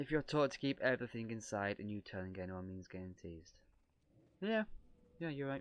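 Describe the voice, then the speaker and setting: Over a quiet background, a man with a northern English accent talks at a fairly quick pace, broken by long, frequent pauses. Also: medium pitch for a man, lively intonation, big swings in loudness. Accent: soft northern English. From northern England, Lancashire, Ribble Valley near Blackburn. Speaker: streamer. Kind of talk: casual chat.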